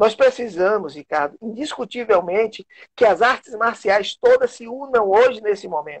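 Loudness swings widely as a man talks in a high pitch with ordinary pitch variation. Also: moderate pace. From interior of Bahia, Brazil. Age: 50s. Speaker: taekwondo master and sports official. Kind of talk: interview on a live stream.

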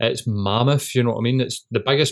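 A man talks at a fairly quick pace in a medium pitch. Vocal fry runs through his voice. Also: ordinary pitch variation.

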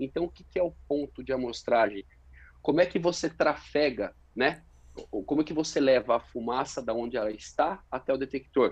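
A man speaks in an ordinary speaking voice at a medium pitch and a fairly quick pace, with ordinary pitch variation and big swings in loudness. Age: 30s. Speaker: fire protection engineer. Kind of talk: interview.

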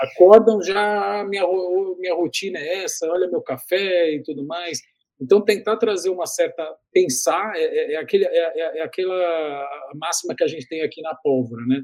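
A high-pitched man at a moderate pace with ordinary pitch variation. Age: 50s. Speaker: digital communication consultant. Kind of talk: interview. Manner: hesitant, frequent word repetitions.

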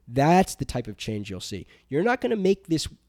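On a very clean, dry and close recording with no echo and a silent background, a man with an American accent speaks in a dark, mellow tone. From New Jersey, US. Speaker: podcast co-host. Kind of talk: casual chat and faith testimony. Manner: halting.

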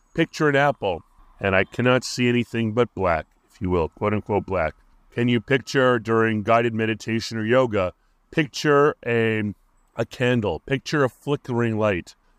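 Here a man speaks at medium pitch with ordinary pitch variation. The sound is dry and close with no echo, over a quiet background. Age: 50s. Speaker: podcast host. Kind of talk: solo monologue podcast. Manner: slow, halting speaker.

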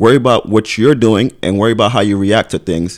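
Here a man with a Brooklyn accent talks at a fairly quick pace and a fairly low pitch. His intonation is lively, and the recording is very clean with a silent background. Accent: New York (Brooklyn). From Brooklyn, New York. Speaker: event organizer, podcast co-host. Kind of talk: casual chat.

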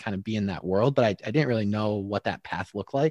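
In a dry, close sound with no echo and a quiet background, a man talks in an ordinary speaking voice. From Michigan. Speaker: podcast host and sports professional. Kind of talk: casual interview.

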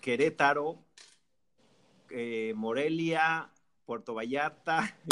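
Ordinary pitch variation in a man's bright, sharp tone. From Mexico, Jalisco. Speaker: music industry PR director and radio host. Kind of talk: casual chat.

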